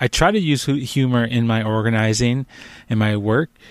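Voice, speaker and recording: Here is a man with a plain, everyday voice and ordinary pitch variation. The recording is very clean, the background silent. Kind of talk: casual chat.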